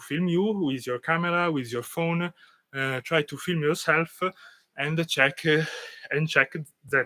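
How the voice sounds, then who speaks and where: A man with an Italian accent speaks at a fairly slow pace, his tone bright and sharp. His intonation is fairly even, over a quiet background. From Italy. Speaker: dance teacher. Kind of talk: tutorial. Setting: live stream. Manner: halting, many fillers. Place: garden. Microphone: camera far.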